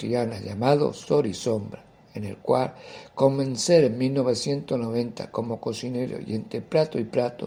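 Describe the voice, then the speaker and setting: This is an ordinary speaking voice from a man at medium pitch. He goes at a fairly slow pace with ordinary pitch variation. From Andalusia, Seville province (Carmona). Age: 60s. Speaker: poet and writer. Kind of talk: interview answers, personal account.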